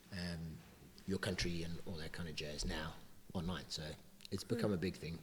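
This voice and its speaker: A man with a South African accent speaks in a very deep, low, somewhat breathy voice at a moderate pace with fairly even intonation. Long, frequent pauses break up his speech, and there is audible room echo. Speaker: weightlifting coach. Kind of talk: casual chat.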